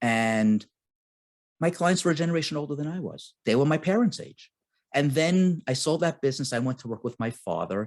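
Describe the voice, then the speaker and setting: A man speaks at a fairly quick pace in an ordinary speaking voice. His pitch is fairly high, with lively intonation. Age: 60s. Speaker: real estate investor. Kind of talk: casual chat.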